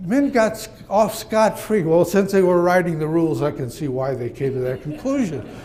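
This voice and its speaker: Amid noticeable background noise and audible room echo, a man talks at a high pitch with very wide pitch swings and hardly any pauses. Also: moderate pace. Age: 80s+. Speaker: psychologist. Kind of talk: conference speech.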